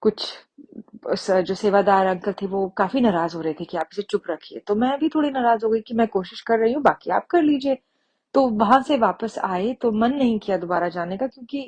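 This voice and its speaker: A woman with a Punjabi accent, fairly high pitch and lively intonation, in a dry, close sound with no echo. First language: Punjabi (speaking Hindi). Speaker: devotee sharing testimony. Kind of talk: testimony. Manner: halting, with fillers.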